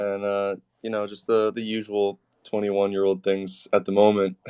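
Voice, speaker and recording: A man is speaking at a moderate speed. His sound is close and dry, without any echo. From New York, Westchester County. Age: 20s. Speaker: race car driver. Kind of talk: interview.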